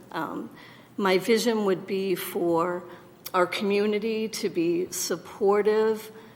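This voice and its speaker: Over noticeable background noise, a woman at a medium pitch talks at a very slow pace with fairly even intonation. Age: 60s. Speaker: political candidate. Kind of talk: candidate forum answer.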